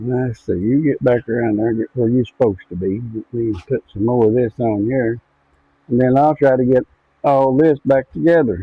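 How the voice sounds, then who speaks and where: A soft-spoken man talks at a moderate pace. His pitch is medium, with ordinary pitch variation. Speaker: farmer and outdoor video maker. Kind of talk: casual vlog narration while working. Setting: farm shop, then outdoors. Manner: trying to talk louder.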